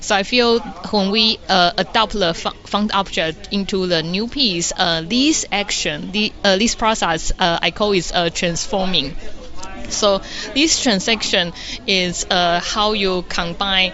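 With a Taiwanese accent, a woman speaks at medium pitch and a very slow pace over noticeable background noise. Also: ordinary pitch variation. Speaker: environmental artist. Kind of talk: interview answers. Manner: halting.

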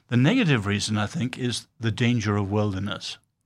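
Over a silent background in a very clean recording, a man talks at a moderate pace with a British accent. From born in China, raised by British missionary family. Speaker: author and social critic. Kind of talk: interview.

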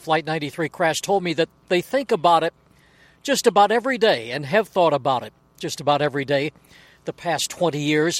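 High in pitch, a man speaks with lively intonation in a dry, close sound with no echo. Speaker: news reporter. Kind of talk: live news report. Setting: outdoors at the crash site.

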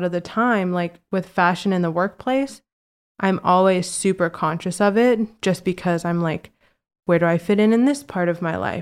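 In an American accent, a woman with a plain, everyday voice speaks at medium pitch and a moderate pace with ordinary pitch variation, in a very clean recording with a silent background. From Virginia. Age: 20s. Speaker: interior designer. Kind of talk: casual chat.

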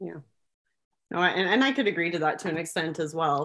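Over a quiet background, a woman with a Wisconsin accent speaks at a fairly quick pace. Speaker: school co-founder. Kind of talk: interview.

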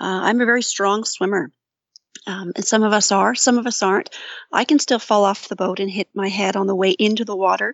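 A woman with a Canadian accent speaks at a fairly quick pace in a medium pitch with fairly even intonation. It is an unremarkable speaking voice. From Ontario, Canada (St. Catharines). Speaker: outdoor safety program coordinator. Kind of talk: interview.

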